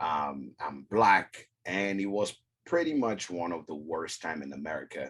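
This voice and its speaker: A man with an African accent and a very deep, low pitch, vocal fry, lively intonation and a fairly slow pace. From West Africa. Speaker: whiskey content creator. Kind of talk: casual chat.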